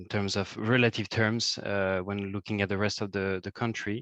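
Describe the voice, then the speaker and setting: Against a quiet background, a man with a fairly low pitch speaks at a moderate pace. His intonation is monotone and flat, and the sound is dry and close with no echo. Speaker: nature conservation specialist, webinar speaker. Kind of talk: webinar presentation. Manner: halting, many fillers.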